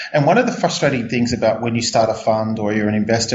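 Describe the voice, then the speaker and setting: Very fast speech in an Australian accent, with noticeable background noise and audible room echo. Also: man. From Australia, Melbourne. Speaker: startup CEO. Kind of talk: interview. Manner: halting, many fillers.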